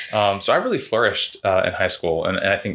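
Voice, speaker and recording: A man with an American accent talks at a fairly quick pace. The recording is very clean, with a silent background. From Central Florida. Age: 40s. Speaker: entrepreneur. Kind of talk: casual chat.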